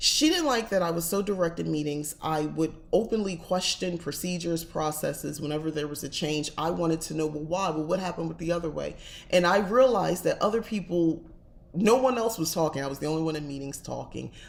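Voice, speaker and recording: With an American accent, a woman speaks at a fairly quick pace. Her fairly low voice carries vocal fry. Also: ordinary pitch variation. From New Jersey, US Northeast. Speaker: witchcraft and tarot channel host. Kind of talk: casual livestream chat. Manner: direct, blunt.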